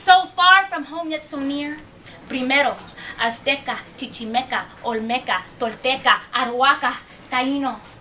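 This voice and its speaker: A woman speaks in a high, raised, projected voice with ordinary pitch variation. Her pace is fairly slow. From Chicago, Puerto Rican family. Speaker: performance poet. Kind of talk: spoken-word poetry performance.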